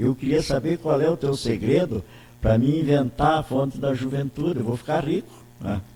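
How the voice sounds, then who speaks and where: A man with a fairly high, dark, mellow voice, somewhat breathy, speaks at a moderate pace with ordinary pitch variation. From Santa Catarina interior, Brazil. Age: 80s+. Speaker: politician. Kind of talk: interview. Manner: halting, many repetitions.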